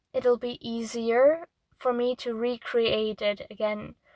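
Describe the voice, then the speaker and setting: With a non-native accent, a woman speaks very slowly in a high voice. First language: not English. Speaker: artist. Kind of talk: casual monologue. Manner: halting.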